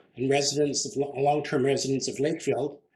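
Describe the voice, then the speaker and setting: Fairly quick and somewhat breathy, a man speaks at a fairly high pitch. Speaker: local history society interviewer. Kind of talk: interview questions.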